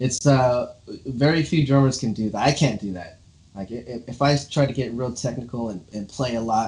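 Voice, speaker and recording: A somewhat breathy man with an American accent, medium pitch, ordinary pitch variation and a moderate pace. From Los Angeles, US West Coast. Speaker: drummer, interview show host. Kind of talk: casual interview chat.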